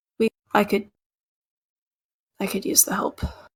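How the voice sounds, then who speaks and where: A put-on character voice, raspy and fairly high in pitch, moves at a moderate pace. The sound is dry and close with no echo. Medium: actual play.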